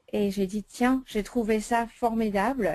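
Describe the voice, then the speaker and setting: A woman speaks very slowly with an American accent. Her tone is dark and mellow, and her intonation stays fairly even. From United States. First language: English (speaking French). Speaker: essential oils consultant. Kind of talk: sales presentation webinar. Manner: hesitant, many fillers.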